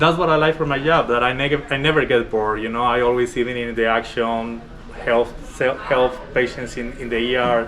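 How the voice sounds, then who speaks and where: In a strong Colombian accent, the speaker talks at a fairly quick pace with fairly even intonation over noticeable background noise. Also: man, medium pitch for a man. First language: Spanish. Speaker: respiratory therapist. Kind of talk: workplace interview.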